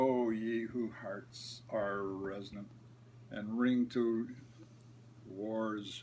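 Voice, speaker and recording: Somewhat breathy and at a medium pitch, a man speaks at a very slow pace with fairly even intonation. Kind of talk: poetry reading.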